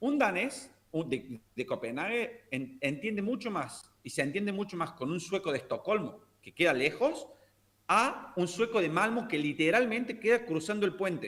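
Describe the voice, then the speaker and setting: Speaking at a moderate speed, this man lets his pitch swing very widely. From Argentina, Córdoba. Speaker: language teacher. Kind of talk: casual chat.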